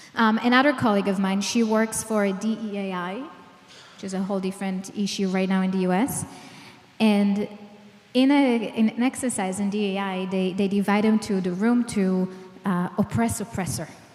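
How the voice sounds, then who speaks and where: A woman at a medium pitch keeps a moderate pace and fairly even intonation while noticeable background noise carries on. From Israel. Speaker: clinical psychologist, trauma expert. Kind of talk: public lecture.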